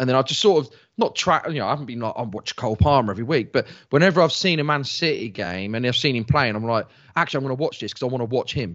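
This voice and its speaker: A man talks very fast in a London accent. His medium-pitched voice carries lively intonation. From South London. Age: 40s. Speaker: football journalist and podcaster. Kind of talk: casual chat.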